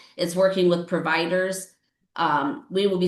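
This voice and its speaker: A woman's fairly low-pitched, plain, everyday voice at a moderate pace. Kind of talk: public meeting presentation. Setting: county board meeting.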